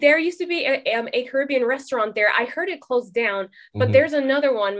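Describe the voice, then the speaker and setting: Speaking at a very fast pace, a woman with a high pitch uses lively intonation. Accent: American. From California (Oxnard), Trinidadian parents. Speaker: documentary filmmaker. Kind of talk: casual interview.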